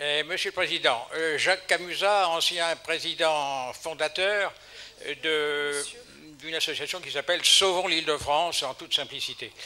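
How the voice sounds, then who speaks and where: A man's fairly high voice, bright and sharp in tone, moves at a fairly slow pace with fairly even intonation. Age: 80s+. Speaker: audience member at public debate. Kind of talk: public meeting question. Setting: public hall with audience. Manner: halting.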